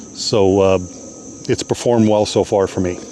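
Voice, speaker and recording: Noticeable background noise runs under a man speaking at a moderate pace with a fairly low pitch. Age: 60s. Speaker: product reviewer. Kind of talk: product review tutorial. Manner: casual, with frequent fillers.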